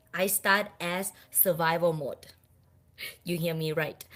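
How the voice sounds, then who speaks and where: A woman with a Thai accent speaks in a bright, sharp tone. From Thailand. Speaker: speaker, business team leader. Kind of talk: motivational speech, personal story.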